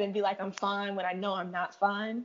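A woman talks at a moderate pace. Her pitch sits in the middle range. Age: 20s. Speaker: financial analyst. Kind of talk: casual chat.

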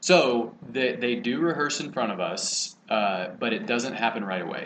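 A man with an American accent talks at a fairly slow pace in a medium pitch, with noticeable background noise. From Texas, College Station area. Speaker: former athlete and TV writer-producer. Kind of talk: casual interview chat.

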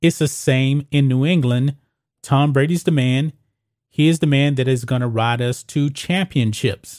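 A man in a normal speaking voice talks at a fairly slow pace, keeping very even loudness and fairly even intonation. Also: fairly high pitch for a man, very clean recording, silent background. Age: 40s. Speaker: sports commentary host. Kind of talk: opinionated sports commentary.

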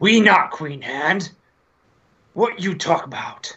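A man puts on a growling character voice, pitched high. He speaks at a fairly slow pace. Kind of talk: broken, primitive speech.

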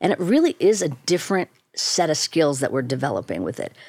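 Fairly low-pitched woman's voice, animated in tone, with very wide pitch swings at a fairly quick pace, on a very clean recording with a silent background. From Chicago. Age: 50s. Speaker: neuroscientist and professor. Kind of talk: casual interview. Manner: brisk, slightly blunt; animated, laughs often.

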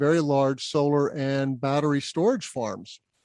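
A man speaks in a plain, everyday voice with an American accent, fairly high pitch and fairly even intonation. He talks at a fairly slow pace over a quiet background, with a dry, close sound and no echo. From US Southwest (Albuquerque, New Mexico). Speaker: solar business development executive, podcast host. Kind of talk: casual interview.

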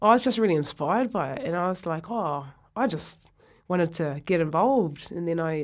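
The speaker has a New Zealand accent and moves at a fairly quick pace with lively intonation. The recording is very clean, with a silent background. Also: woman. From New Zealand, North Otago. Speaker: former rugby player. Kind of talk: interview.

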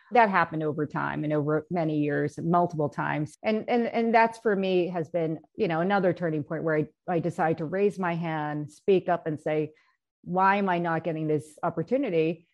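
A woman speaks at a moderate pace with fairly low pitch. She has an ordinary speaking voice. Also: ordinary pitch variation. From US, Korean American household. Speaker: bond fund manager. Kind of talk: panel discussion.

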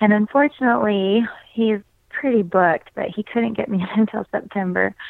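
The speaker has an unremarkable speaking voice with an American accent and moves at a moderate pace. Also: woman. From US, southern Utah. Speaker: runner and triathlete. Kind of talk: interview.

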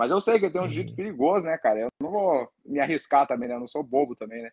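A man talks with lively intonation in a fairly high voice. The sound is dry and close, without echo. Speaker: MMA fighter. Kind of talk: casual chat.

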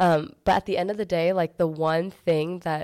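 A woman with an American accent speaks at a moderate pace in a fairly low, dark and mellow voice. The sound is dry and close, with no echo. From Arizona, Gilbert. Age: 20s. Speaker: entrepreneur. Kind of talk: casual chat. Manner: animated.

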